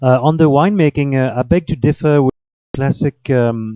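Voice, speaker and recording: The speaker has a French accent and a dark, mellow tone. Delivery is at a moderate pace with ordinary pitch variation, in a dry, close sound with no echo. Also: man. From France (Paris). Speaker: cheese and wine tour guide. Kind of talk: radio interview. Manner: halting, many fillers and repetitions.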